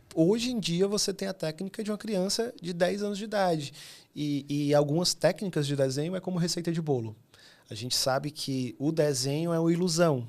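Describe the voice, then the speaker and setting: With a northeastern Brazilian accent, the speaker talks at a fairly quick pace with lively intonation on a very clean recording with a silent background. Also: man, high pitch for a man. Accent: northeastern Brazilian (Fortaleza). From Fortaleza, Ceará, northeastern Brazil. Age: 30s. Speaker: illustrator. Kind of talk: podcast interview. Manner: animated.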